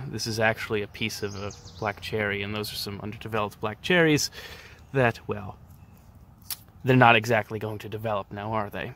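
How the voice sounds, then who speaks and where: Long, frequent pauses from a man at a moderate pace, bright and sharp in tone, with fairly even intonation and a dry sound with no echo. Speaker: nature video host. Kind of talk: casual nature commentary. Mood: calm, gentle. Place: garden. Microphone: phone near.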